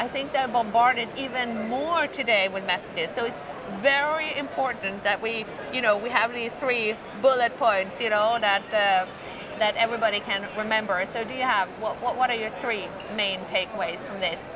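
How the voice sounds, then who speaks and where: A woman at a fairly high pitch and a moderate pace, with ordinary pitch variation, audible room echo and music in the background. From Sweden. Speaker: corporate interviewer. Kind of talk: business interview.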